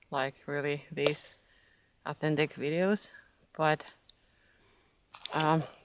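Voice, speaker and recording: Someone speaks very slowly in a Finnish accent. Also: long, frequent pauses. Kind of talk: casual spiritual monologue. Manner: halting.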